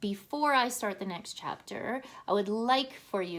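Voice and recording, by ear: In a natural voice, the text is read aloud with ordinary pitch variation.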